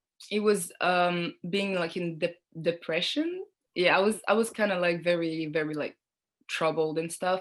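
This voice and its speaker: Against a quiet background, a woman with a fairly low pitch speaks at a moderate pace with fairly even intonation. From Niger and Montreal, Canada. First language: French. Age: 20s. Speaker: model and student. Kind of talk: interview. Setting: video call. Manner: hesitant, many fillers.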